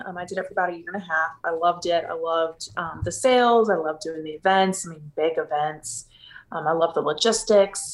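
In a normal speaking voice, a woman with fairly low pitch and ordinary pitch variation talks at a fairly quick pace with big swings in loudness. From Texas (Houston). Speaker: business owner. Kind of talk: interview.

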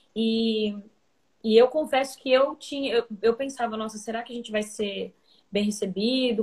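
Somewhat breathy and fairly high-pitched, a woman speaks at a moderate pace with fairly even intonation. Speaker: musician. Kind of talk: interview. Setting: video call.

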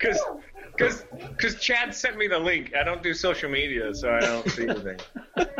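Noticeable background noise runs beneath a man talking at a moderate pace. His loudness stays very even. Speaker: old friend. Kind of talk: casual chat. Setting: video call.

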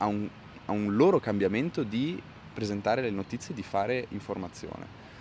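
This man speaks at a fairly quick pace with a fairly low pitch. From Bolzano, South Tyrol, Italy. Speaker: climate activist and musician. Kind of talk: interview. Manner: halting.

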